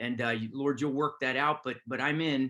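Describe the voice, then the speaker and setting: Loud and fairly quick, a man speaks with a bright, sharp tone. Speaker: army chaplain. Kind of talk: webinar talk. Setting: video call.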